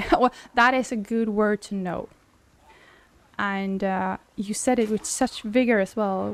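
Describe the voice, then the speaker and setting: Speaking very slowly in a Swedish accent, a woman keeps her fairly high pitch fairly even in intonation. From Sweden. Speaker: game streamer. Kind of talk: casual chat. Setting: live stream at home.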